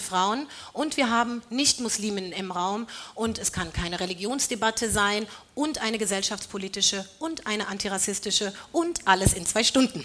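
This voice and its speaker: Over noticeable background noise comes a woman's fairly high voice. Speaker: panel moderator, radio editor. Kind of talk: moderating a panel debate. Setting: stage with audience.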